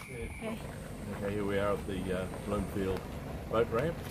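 A man at a moderate pace, heard over loud background noise. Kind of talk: casual vlog chat. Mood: relaxed, easygoing. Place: waterside.

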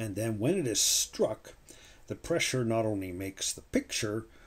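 Over a very clean recording with a silent background, a man talks in a relaxed tone, somewhat breathy and fairly low in pitch. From Canada. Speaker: coin collector YouTuber. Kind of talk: hobby video commentary. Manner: relaxed, with frequent fillers and self-corrections.

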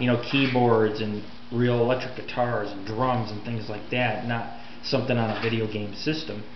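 The speech comes at a moderate pace in a monotone, flat intonation, with noticeable background noise behind it. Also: man, medium pitch for a man. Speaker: radio show host. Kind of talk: casual talk to camera.

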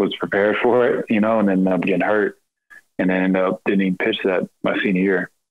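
Over a quiet background, a man with a Texan accent talks at a fairly quick pace. His fairly low voice stays monotone and flat. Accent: Texan American English. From Texas, Rockwall and Royse City area; Texas. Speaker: professional baseball pitcher; podcast guest. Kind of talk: casual interview chat. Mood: relaxed, reflective. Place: home room. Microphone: video call.

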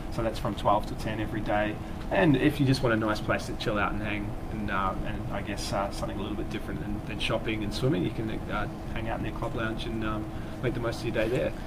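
Loud noise fills the background. The speech runs at a very fast pace. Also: man. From Australia. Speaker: travel company staff. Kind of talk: casual chat. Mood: relaxed, friendly. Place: studio. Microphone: lapel.

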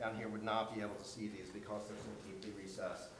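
The speech moves at a very fast pace, with light background noise and audible room echo. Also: man. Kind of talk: presentation to a hearing panel. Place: meeting room.

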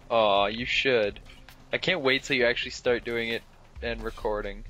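A man with a medium pitch and ordinary pitch variation speaks at a moderate pace over music in the background. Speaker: gaming YouTuber. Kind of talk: casual gameplay chat.

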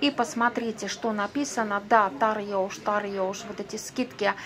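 A woman speaks at a fairly slow pace with a fairly high pitch. Light background noise is present. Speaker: vlogger answering subscriber questions. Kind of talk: casual vlog monologue. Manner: chatty, informal. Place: shop.

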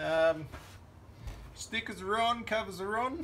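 Over light background noise, a man speaks in a raised, projected voice at a fairly slow pace, with ordinary pitch variation. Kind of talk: tutorial. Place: garage. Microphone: phone near.

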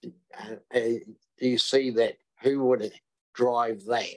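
The speaker is a man with a New Zealand accent. His pitch is medium, and the background is quiet. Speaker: deputy mayor. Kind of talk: council meeting questions. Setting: council meeting room. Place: meeting room. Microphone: podium.

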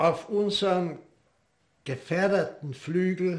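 Against a quiet background, a man talks at a very slow pace. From Austria. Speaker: war veteran. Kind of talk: interview answer. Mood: calm, reflective. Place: home room.

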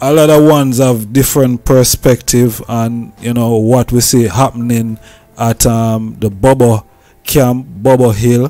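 Slowish and flat, a man's medium-pitched voice has a dark, mellow tone and monotone intonation at a fairly slow pace. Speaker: podcast host. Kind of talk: interview. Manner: halting.

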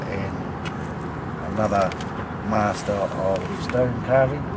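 A man talks over noticeable background noise, the sound dry with no echo. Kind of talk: casual spoken address. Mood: respectful, warm. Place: waterside. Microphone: phone near.

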